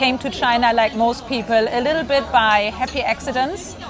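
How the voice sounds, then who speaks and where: A woman with a German accent, audible room echo, and music in the background. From Germany. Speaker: recruiting company general manager. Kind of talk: interview conversation. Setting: in person in Shanghai.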